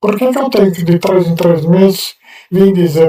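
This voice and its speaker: This man's voice is high in pitch, with a dark, mellow tone and a moderate pace. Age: 70s. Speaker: person with multiple sclerosis giving testimony. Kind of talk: testimony.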